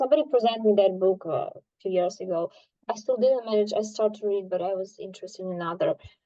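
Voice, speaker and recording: A woman with a medium pitch and ordinary pitch variation talks at a very fast pace, her loudness swinging widely. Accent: Ukrainian. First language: Ukrainian. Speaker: art study group member. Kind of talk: casual group discussion. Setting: video call. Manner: halting.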